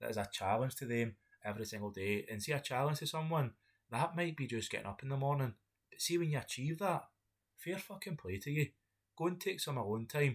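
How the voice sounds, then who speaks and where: In a Scottish accent, the voice swings very widely in pitch over a very clean recording with a silent background. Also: man. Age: 30s. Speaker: podcast host. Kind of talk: solo monologue. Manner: halting.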